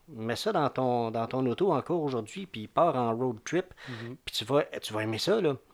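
With a plain, everyday voice, a man speaks at a medium pitch and a fairly slow pace, his intonation lively, on a very clean recording with a silent background. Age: 50s. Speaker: music commentator. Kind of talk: casual chat.

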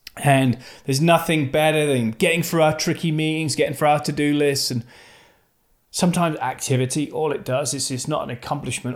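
This man speaks with a plain, everyday voice, fairly high in pitch, at a fairly quick pace with fairly even intonation. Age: 40s. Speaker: leadership podcast host. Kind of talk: motivational monologue.

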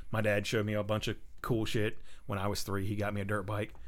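Speaking at a very fast pace, a man with a fairly low pitch keeps a monotone, flat intonation. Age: 30s. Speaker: amateur race car driver. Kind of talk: casual chat.

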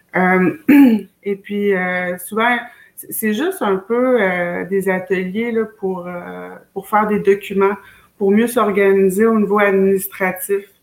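A voice that speaks at a very slow pace with fairly even intonation. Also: woman, medium pitch for a woman. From Quebec, Wendake (Wendat community near Quebec City). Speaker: community organizer. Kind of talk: casual interview. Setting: video call.

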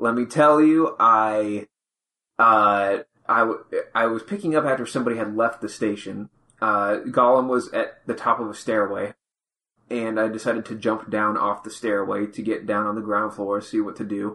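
Bright and sharp in tone, the voice keeps a moderate pace with fairly even intonation. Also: man, medium pitch for a man. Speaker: podcast co-host. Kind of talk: casual chat.

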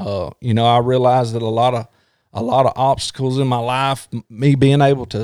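With a Southern US accent, the speaker keeps fairly even intonation at a moderate pace on a very clean recording with a silent background. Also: man. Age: 40s. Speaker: former police officer, podcast host. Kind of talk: casual chat.

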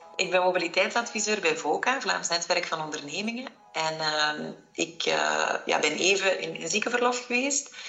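A woman's fairly low voice moves at a moderate pace through noticeable background noise. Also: lively intonation. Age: 40s. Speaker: listener sharing experience. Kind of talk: testimony.

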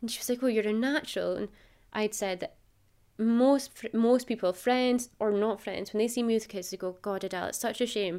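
In a northeast Scottish accent, a woman with a dark, mellow tone and fairly high pitch speaks at a fairly quick pace with fairly even intonation, on a very clean recording with a silent background. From northeast Scotland (Macduff, Aberdeenshire). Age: 30s. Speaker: podcast guest. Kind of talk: casual chat.

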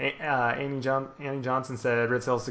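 A man rushes along at a very fast pace with noticeable background noise around him. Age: 20s. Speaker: podcast host. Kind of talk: casual chat.

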